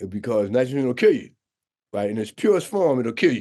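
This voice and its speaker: The voice belongs to a man and has a dark, mellow tone. His intonation is lively. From New York City (Harlem). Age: 70s. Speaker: scuba diving instructor and nonprofit founder. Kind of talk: interview conversation.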